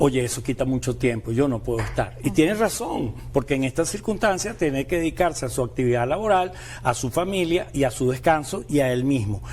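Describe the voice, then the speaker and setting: With a normal speaking voice at a medium pitch, a man talks at a fairly quick pace with lively intonation and hardly any pauses. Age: 60s. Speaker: condominium platform director. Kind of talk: TV panel discussion.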